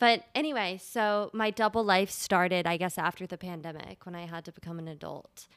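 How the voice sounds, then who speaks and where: A woman with an American accent and medium pitch talks at a fairly quick pace with hardly any pauses, ordinary pitch variation and big swings in loudness, on a very clean recording with a silent background. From Delaware, US. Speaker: actress. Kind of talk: casual chat.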